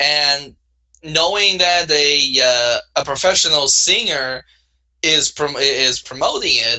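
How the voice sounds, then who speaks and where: Speaking very slowly, a man talks with a Southern US accent. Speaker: podcast co-host. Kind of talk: casual chat. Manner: halting, many fillers and restarts.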